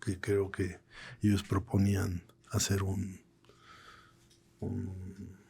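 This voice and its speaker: A somewhat breathy man with a Mexican accent, dark, mellow tone, fairly low pitch and monotone, flat intonation, at a very slow pace with long, frequent pauses. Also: very clean recording, silent background. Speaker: political cartoonist. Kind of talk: interview conversation. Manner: halting, repeats words.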